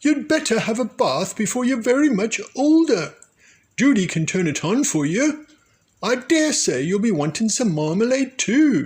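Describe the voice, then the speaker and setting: Putting on a character voice, a man speaks at a moderate pace with an extremely high pitch and very wide pitch swings. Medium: read story. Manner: brisk, stern.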